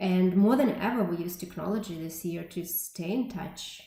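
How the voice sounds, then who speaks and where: Amid noticeable background noise and audible room echo, a woman with a Russian accent speaks at a medium pitch with ordinary pitch variation. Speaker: tech company representative, conference speaker. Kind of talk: conference talk.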